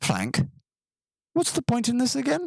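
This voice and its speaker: Putting on a character voice, a man talks at a moderate pace in an extremely high pitch. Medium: read story. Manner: cocky.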